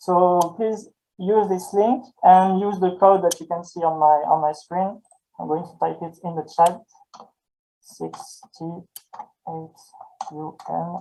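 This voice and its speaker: A man with a French accent speaks very slowly at a high pitch, with long, frequent pauses and fairly even intonation. His loudness swings widely, and music plays in the background. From southern France, Avignon. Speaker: French language tutor. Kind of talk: online presentation introduction. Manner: hesitant, with repetitions.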